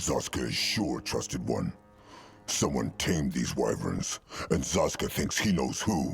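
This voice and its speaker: A man growls in a put-on character voice with a very deep, low pitch. He speaks at a moderate pace with music in the background. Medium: video game. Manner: speaks of himself in third person.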